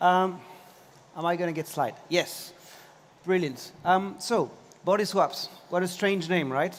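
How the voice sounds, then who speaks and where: Speaking with a French accent, a man with a high pitch goes at a fairly slow pace with long, frequent pauses. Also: ordinary pitch variation. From France, Paris. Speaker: tech company CEO. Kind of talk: conference talk.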